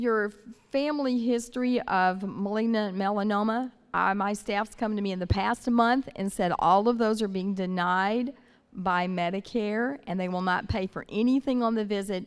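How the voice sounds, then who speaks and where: A woman speaks in an unremarkable speaking voice, medium in pitch with ordinary pitch variation, at a moderate pace with an American accent on a very clean recording with a silent background. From Northern California. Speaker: audience member asking questions.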